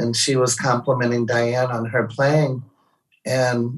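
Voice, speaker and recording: A man with an American accent talks at a fairly slow pace. His medium-pitched voice is somewhat breathy. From St. Louis, Missouri. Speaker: touring musician's partner. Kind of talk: casual chat. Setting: video call.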